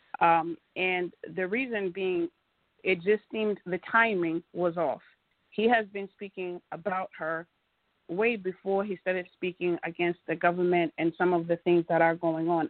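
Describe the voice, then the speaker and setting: Speaking at a moderate pace, a woman with a plain, everyday voice has an American accent. Her pitch is fairly low and her intonation fairly even. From United States. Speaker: community association president. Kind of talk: call-in radio panel discussion.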